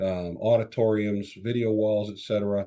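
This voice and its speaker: A man's fairly low voice in a Chicago accent, dark and mellow in tone, with monotone, flat intonation. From Chicago area, US Midwest. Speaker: tech sales executive. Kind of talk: podcast interview.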